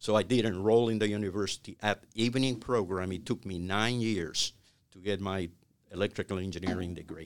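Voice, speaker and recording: Talking at a fairly quick pace, a man with a Cuban accent keeps a fairly low pitch and fairly even intonation. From Cuba (Havana). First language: Spanish. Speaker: retired business executive. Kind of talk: interview. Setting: studio. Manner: halting.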